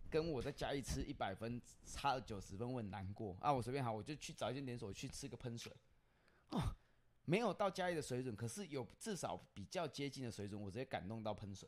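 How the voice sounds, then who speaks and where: A man at medium pitch with lively intonation and a fairly quick pace, on a very clean recording with a silent background. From Chiayi, Taiwan. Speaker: podcast host. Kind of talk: casual chat.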